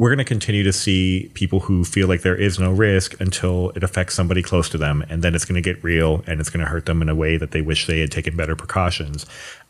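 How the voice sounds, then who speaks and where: A man with a very deep, low pitch, a very fast pace, hardly any pauses and fairly even intonation, amid noticeable background noise. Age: 30s. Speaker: wedding and portrait photographer, podcast co-host. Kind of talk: casual chat. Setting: remote podcast recording.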